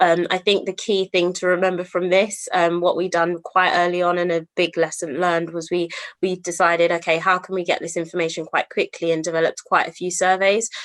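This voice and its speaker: Speaking at a fairly quick pace with hardly any pauses, a woman keeps a monotone, flat intonation in a fairly low register. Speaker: service designer presenting a project. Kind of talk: conference presentation. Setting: remote online event. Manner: fast.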